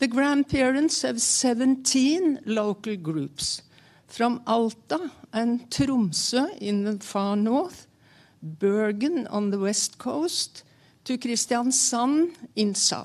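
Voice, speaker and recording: A woman with a high pitch and lively intonation at a very slow pace. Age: 80s+. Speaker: climate activist, former politician. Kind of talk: seminar presentation. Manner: halting.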